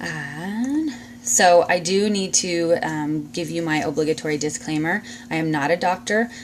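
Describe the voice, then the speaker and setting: Over noticeable background noise, a woman with a fairly low pitch talks at a fairly slow pace, her intonation lively. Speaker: essential oils seller and class teacher. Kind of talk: live-streamed informal class. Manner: hesitant, many fillers.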